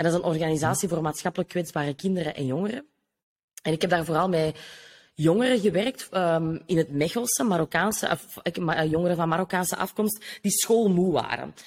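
On a very clean recording with a silent background, a woman with a Kempen accent speaks at a fairly quick pace, with a fairly low pitch and ordinary pitch variation. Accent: Flemish (Kempen) Dutch. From Flanders, Belgium (Noorderkempen). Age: 30s. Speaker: business coach. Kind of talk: casual interview.

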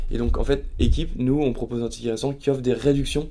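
Here a man is speaking. There is audible room echo around his voice. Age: 30s. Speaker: startup founder. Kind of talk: casual interview. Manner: halting, with frequent repetitions and fillers.

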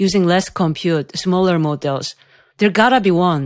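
With a Korean accent, a woman speaks at a moderate pace and medium pitch on a very clean recording with a silent background. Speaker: AI researcher and professor. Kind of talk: interview, explanatory conversation. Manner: hesitant, uses fillers.

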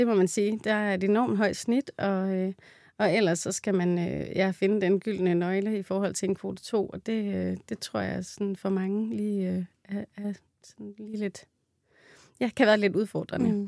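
At a fairly slow pace, a woman speaks at medium pitch in a dark, mellow tone, with a dry, close sound and no echo. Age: 30s. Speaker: midwife. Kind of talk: interview.

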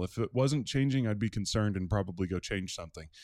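In a normal speaking voice, a man talks at medium pitch with lively intonation. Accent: American. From Maryland, near Washington D.C. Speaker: campus pastor. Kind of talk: interview.

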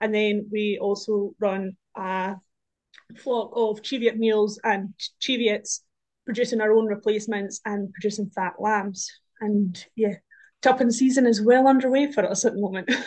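Fairly even intonation marks this speaker, in a southern Scottish accent. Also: woman, fairly high pitch for a woman, moderate pace. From Scotland, Dumfriesshire. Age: 20s. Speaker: land agent assistant and farmer. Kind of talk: casual chat.

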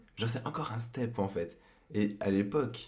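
The man's voice is fairly low, with ordinary pitch variation. Audible room echo and noticeable background noise are present. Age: 20s. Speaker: podcast guest, host's boyfriend. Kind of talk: casual chat.

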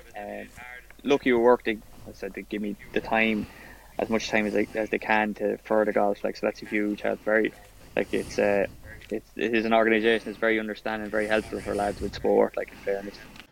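A man talks at a fairly quick pace in a fairly low pitch, his intonation monotone and flat. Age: 30s. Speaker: amateur golfer and police officer. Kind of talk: casual chat.

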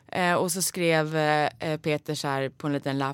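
Moderate pace with ordinary pitch variation. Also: woman. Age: 30s. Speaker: podcast host, voice actor. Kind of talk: casual chat.

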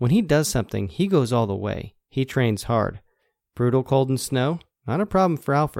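A man with an American accent uses a normal speaking voice at medium pitch with lively intonation. The recording is very clean and silent in the background, dry and close with no echo. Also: moderate pace. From New Jersey. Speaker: podcast host. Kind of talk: scripted narration.

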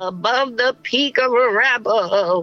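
With faint music behind him, a man does a put-on character voice at an extremely high pitch and a fairly slow pace. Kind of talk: put-on old lady voice.

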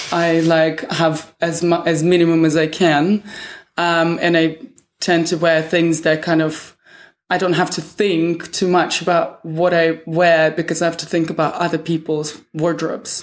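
A woman speaks in a Russian accent with monotone, flat intonation. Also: fairly low pitch for a woman, fairly slow pace. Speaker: fashion stylist. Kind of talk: interview. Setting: hotel room.

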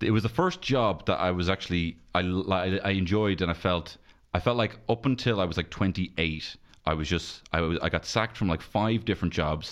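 Against a quiet background, a man with a Dublin accent talks at a fairly quick pace in a very deep, low pitch, with very even loudness and ordinary pitch variation. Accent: Dublin Irish. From Dublin, Ireland (north side). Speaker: stand-up comedian. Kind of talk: casual chat.

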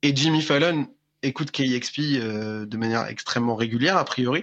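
His intonation is lively. The man keeps a moderate pace. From France. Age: 20s. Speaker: rock musician. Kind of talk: interview. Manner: halting, many repetitions.

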